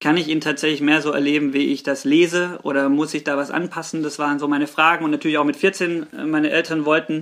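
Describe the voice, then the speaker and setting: With an unremarkable speaking voice, a man talks at a fairly quick pace and fairly high pitch on a very clean recording with a silent background. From Swabia, southern Germany. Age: 30s. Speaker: pastor. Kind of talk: casual chat.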